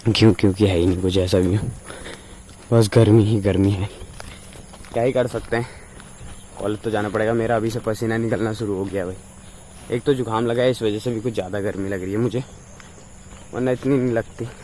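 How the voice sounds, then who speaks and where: A man talks at a moderate pace with a fairly low pitch and fairly even intonation, leaving long, frequent pauses. Noticeable background noise runs underneath. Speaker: vlogger, hospitality student. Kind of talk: casual vlog. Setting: outdoors, walking to college.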